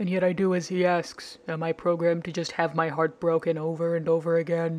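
Delivered in a put-on character voice, the speech runs at a fairly quick pace with a middle pitch and monotone, flat intonation. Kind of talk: mock-tragic soliloquy. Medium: fan dub. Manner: melodramatic, brooding, self-pitying; solemn, wounded.

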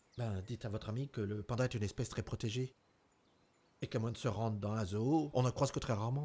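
A man talks at a very fast pace in a dark, mellow tone. His voice is somewhat breathy, with fairly even intonation. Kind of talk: acted dramatic dialogue. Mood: frightened, pleading. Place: car.

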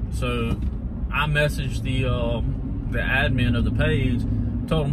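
A man talks at a moderate pace with an American accent over loud background noise. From US South, Mississippi. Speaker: lawn care business owner, vlogger. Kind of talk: casual vlog talk. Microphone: phone near.

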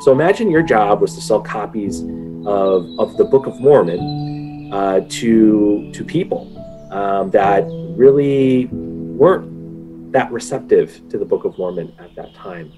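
Clear music plays behind a man speaking. He talks at a fairly slow pace with big swings in loudness. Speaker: lesson teacher for a children's group. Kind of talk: lesson storytelling. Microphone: webcam.

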